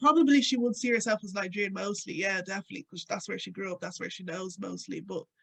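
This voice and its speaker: In an Irish accent, a woman talks at a fairly quick pace with very wide pitch swings. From Ireland. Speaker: radio presenter and activist. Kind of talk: interview conversation. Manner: casual, many fillers.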